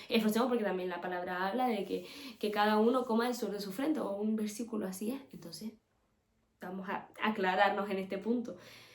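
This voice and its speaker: Audible room echo surrounds a woman with a fairly high pitch. She keeps fairly even intonation at a fairly quick pace. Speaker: podcast host. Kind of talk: religious teaching podcast. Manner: fast; casual.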